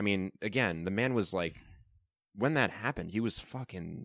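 On a very clean recording with a silent background, a man speaks in a fairly low pitch with ordinary pitch variation. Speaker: podcast co-host. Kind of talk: casual chat.

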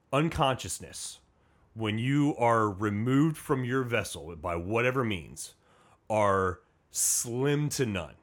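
A man with an American accent speaks very slowly at a medium pitch, his pitch swinging very widely. The recording is very clean, with a silent background. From US Midwest, Indiana. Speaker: Coast Guard station commander. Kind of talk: casual interview. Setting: studio.

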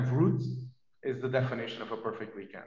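This man talks at a fairly quick pace in a Portuguese accent. Audible room echo and noticeable background noise fill the recording. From southern Portugal (Vila Real). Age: 40s. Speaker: TV technology executive. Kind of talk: interview. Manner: hesitant with fillers.

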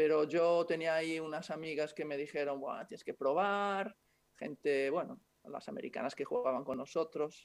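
Moderate in pace, a man talks with ordinary pitch variation. His pitch is fairly high. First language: Italian (speaking Spanish). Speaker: former basketball player, club manager. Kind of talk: interview.

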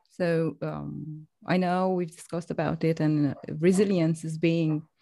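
A woman's fairly low, dark, mellow voice in a monotone, flat intonation at a fairly slow pace. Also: long, frequent pauses, quiet background. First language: not English. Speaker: podcast host. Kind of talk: interview.

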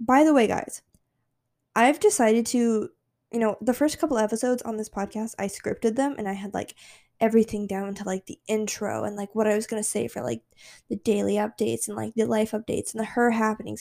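Her tone dark and mellow, a woman talks at a fairly quick pace in a fairly high pitch. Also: fairly even intonation, very clean recording, silent background. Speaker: podcast host. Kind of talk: casual chat. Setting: at home on her couch. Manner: unscripted, with stumbles.

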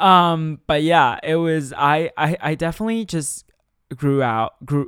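A man with a Chinese accent speaks at a fairly high pitch. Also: very clean recording, silent background. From China. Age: 19. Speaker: podcast host. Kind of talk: casual monologue. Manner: halting, many fillers and stutters; animated.

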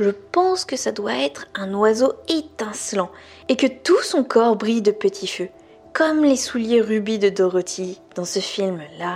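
Lively intonation from a woman at a medium pitch, an ordinary speaking voice at a fairly slow pace. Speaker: podcast host reading a novel aloud. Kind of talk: literary audiobook reading, intimate and dramatic, with character voices. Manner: casual, friendly, informal address to listener outside the reading.

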